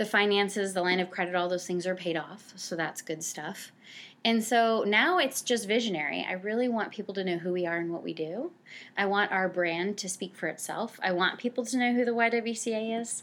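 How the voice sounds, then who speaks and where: An ordinary speaking voice from a woman with an American accent, medium pitch, ordinary pitch variation and a moderate pace, in a very clean recording with a silent background. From New Jersey (Cranford). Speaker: nonprofit director for family services. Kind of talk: interview.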